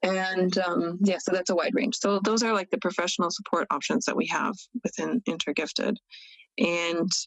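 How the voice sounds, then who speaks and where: Using a plain, everyday voice, a woman with an American accent speaks at a medium pitch and moderate pace with ordinary pitch variation. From United States. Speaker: founder of a gifted-adult community. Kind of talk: casual chat.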